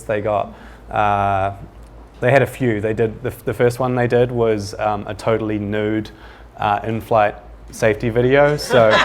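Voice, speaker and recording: Speaking with a New Zealand accent, a man keeps a moderate pace and a monotone, flat intonation at a fairly low pitch. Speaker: ad agency panelist. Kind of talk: panel discussion. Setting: studio with live audience. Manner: halting, many repetitions.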